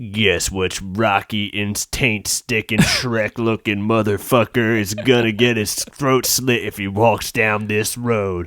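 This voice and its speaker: In a put-on character voice with a menacing tone, a man speaks at a fairly slow pace with hardly any pauses. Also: fairly low pitch for a man. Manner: menacing, threatening.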